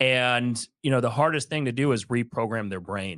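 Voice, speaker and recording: Here is a man with an ordinary speaking voice at medium pitch and a moderate pace. The recording is very clean, with a silent background, and the sound is dry and close with no echo. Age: 40s. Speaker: podcast co-host. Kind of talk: podcast interview.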